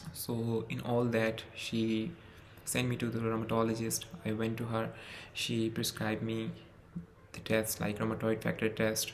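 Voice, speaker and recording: A man with a non-native accent, medium pitch, monotone, flat intonation, and a fairly slow pace, with audible room echo. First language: not English. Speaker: medical student. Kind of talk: personal testimony.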